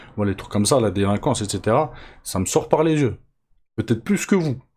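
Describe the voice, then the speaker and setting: In a very clean recording with a silent background, a man speaks in a dark, mellow tone with lively intonation. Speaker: MMA news youtuber. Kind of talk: casual news commentary. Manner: casual, slangy, with hesitations.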